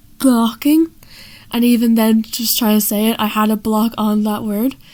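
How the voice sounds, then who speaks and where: Moderate pace with an Irish accent. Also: woman, fairly high pitch for a woman. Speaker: person who stammers, amateur cartoonist. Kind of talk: explaining own artwork. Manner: halting, with repetitions and fillers.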